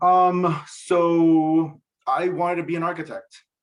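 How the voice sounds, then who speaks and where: This is a man talking. He has a Spanish accent. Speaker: TV director. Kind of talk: casual interview.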